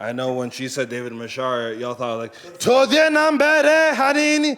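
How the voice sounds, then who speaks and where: Noticeable background noise surrounds a man with an American accent. His tone is animated. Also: moderate pace. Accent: non-Kenyan, Americanized English. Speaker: stand-up comedian. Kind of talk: stand-up. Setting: stage with audience.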